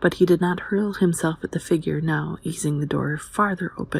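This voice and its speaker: A quiet, somewhat breathy woman speaks in a calm tone at a moderate pace, her pitch very deep and low. Her intonation stays fairly even, and the recording is very clean with a silent background. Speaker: audiobook narrator. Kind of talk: audiobook reading. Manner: quiet, calm.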